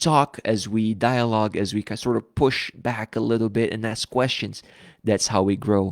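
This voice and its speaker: A man with a fairly low pitch and ordinary pitch variation speaks at a moderate pace, in a dry, close sound with no echo and a very clean recording over a silent background. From Brazil. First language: Portuguese. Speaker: pastor. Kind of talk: live stream Bible study talk. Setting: live stream.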